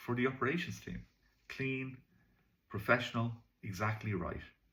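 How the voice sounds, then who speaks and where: The speaker has a Dublin accent. The voice is somewhat breathy. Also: man. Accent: Irish (Dublin). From Ireland. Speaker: English teacher. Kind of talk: tutorial. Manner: casual, hesitant with fillers.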